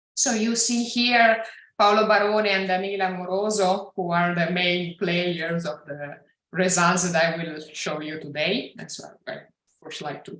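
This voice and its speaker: A woman's voice with ordinary pitch variation, big swings in loudness, and audible room echo. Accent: Italian. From Italy. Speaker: physicist, research director. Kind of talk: scientific lecture. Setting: video call.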